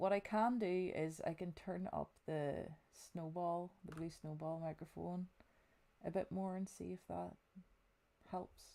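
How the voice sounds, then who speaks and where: Soft-spoken and fairly low in pitch, a woman with a dark, mellow tone talks at a fairly slow pace with fairly even intonation and long, frequent pauses. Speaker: gaming streamer. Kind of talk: live gameplay stream chat. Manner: quiet, low volume.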